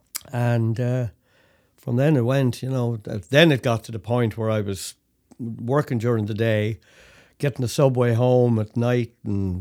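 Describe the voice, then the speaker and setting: His tone is dark and mellow, at a medium pitch. The man keeps a moderate pace with fairly even intonation. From Ireland, Dublin. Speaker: folk musician. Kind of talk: casual chat.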